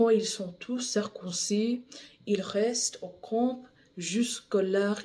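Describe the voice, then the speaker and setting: Very slowly and with long, frequent pauses, a woman with a non-native accent speaks in a fairly high pitch, her dark, mellow tone somewhat breathy and her intonation fairly even. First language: English (speaking French). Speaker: bible reader. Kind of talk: reading aloud; casual chat. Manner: halting, repeats words.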